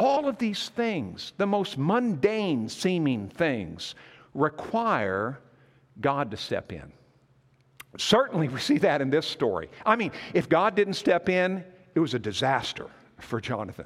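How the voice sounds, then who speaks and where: A man with an American accent, fairly high in pitch, with very wide pitch swings, vocal fry and a fairly slow pace. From US Northwest (Montana). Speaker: pastor and church convention leader. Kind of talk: sermon.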